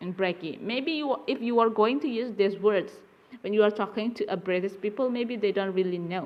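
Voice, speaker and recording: A woman with an Indonesian accent and ordinary pitch variation. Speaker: university lecturer. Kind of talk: lecture. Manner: halting.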